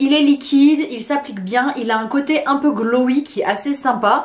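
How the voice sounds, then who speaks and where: A woman's high voice with ordinary pitch variation. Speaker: beauty content creator. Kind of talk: product review vlog. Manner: casual, conversational with hesitations.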